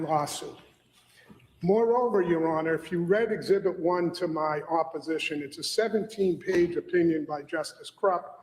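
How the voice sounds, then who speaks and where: Noticeable background noise sits behind a man speaking in a Boston accent at a high pitch. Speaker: lawyer arguing in court. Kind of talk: formal legal argument. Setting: courtroom.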